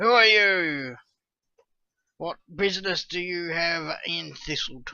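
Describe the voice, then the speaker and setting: In a put-on, growling character voice at middle pitch, the speaker moves at a fairly slow pace with long, frequent pauses. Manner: growling, suspicious.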